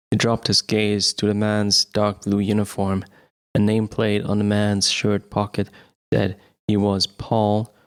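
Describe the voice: Someone gives a plain reading aloud against a quiet background.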